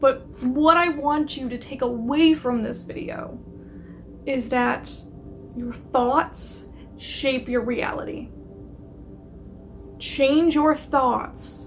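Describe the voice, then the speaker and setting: With music in the background, a woman speaks very slowly at a high pitch, her intonation fairly even and broken by long, frequent pauses. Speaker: lifestyle YouTuber. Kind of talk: casual video monologue.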